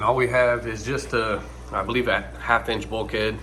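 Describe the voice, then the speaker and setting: A man talks at a moderate pace. The room echo is audible and the background noise is noticeable. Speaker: fishkeeping hobbyist. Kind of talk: casual tutorial walkthrough.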